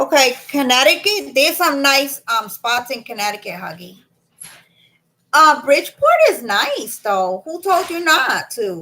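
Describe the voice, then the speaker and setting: In a Boston accent, a woman uses a raised, projected voice with a bright, sharp tone and high pitch. She talks at a fairly slow pace, with very wide pitch swings and big swings in loudness. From Boston area, Massachusetts. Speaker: live streamer. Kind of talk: casual live-stream chat reading comments. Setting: live stream.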